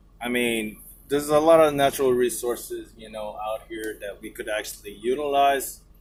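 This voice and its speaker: A man with a Filipino accent speaks at a moderate pace, his medium-pitched voice keeping a fairly even intonation. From Philippines. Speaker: truck driver vlogger. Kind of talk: casual vlog monologue. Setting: inside truck cab. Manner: rambling, hesitant.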